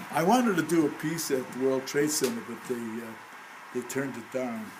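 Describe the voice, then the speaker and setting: Audible room echo and noticeable background noise surround a man speaking at medium pitch and a moderate pace. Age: 80s+. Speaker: artist. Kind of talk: casual chat. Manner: halting.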